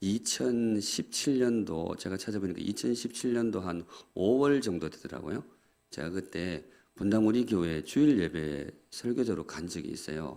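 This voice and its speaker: Lively intonation marks this man's fairly low-pitched voice, which has a dark, mellow tone and a moderate pace. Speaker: guest pastor. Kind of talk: sermon. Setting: church.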